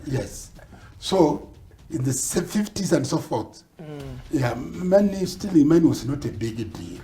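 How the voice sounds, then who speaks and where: With lively intonation and big swings in loudness, a man speaks very slowly at a fairly high pitch. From Kenya. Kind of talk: interview answer.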